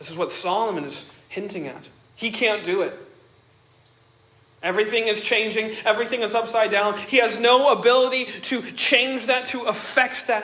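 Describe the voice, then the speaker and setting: A man's raised, projected voice, high-pitched, at a moderate pace with ordinary pitch variation, over noticeable background noise. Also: big swings in loudness. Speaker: pastor. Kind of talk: sermon.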